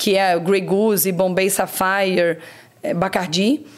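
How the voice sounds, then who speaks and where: Noticeable background noise around a woman's medium-pitched voice. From Brazil, Rio de Janeiro state interior (Barra Mansa). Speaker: marketing executive. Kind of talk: interview. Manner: energetic.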